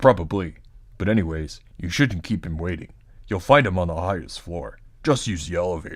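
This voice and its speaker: Putting on a character voice, a man speaks at a very deep, low pitch and a fairly quick pace, with ordinary pitch variation, big swings in loudness, and a very clean recording over a silent background. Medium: game stream. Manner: urgent.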